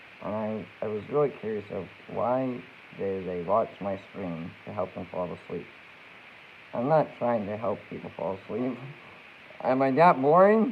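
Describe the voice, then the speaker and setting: A man speaks at a fairly slow pace with a fairly low pitch, leaving long, frequent pauses. His intonation is lively, his loudness swings widely, and there is noticeable background noise. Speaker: streamer. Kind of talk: casual chat. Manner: animated.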